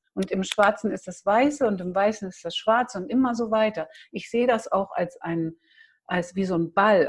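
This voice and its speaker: A woman talks at a fairly quick pace in a somewhat breathy voice. Her medium pitch shows ordinary variation. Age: 60s. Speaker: massage and touch practitioner. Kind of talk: interview.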